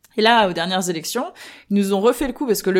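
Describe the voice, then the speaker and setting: With noticeable background noise behind her, a woman speaks with lively intonation. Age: 30s. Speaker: political party spokesperson. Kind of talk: interview. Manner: hesitant with many fillers.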